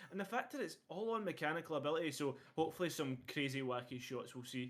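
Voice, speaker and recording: Talking at a very fast pace, a man with a Scottish accent uses lively intonation and a fairly high pitch. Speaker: esports caster. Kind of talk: live commentary.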